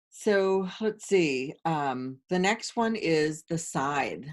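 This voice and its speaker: With lively intonation, a woman speaks at a very slow pace in a fairly low pitch. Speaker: tarot and oracle card teacher; medium. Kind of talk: tutorial. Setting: screen-share video.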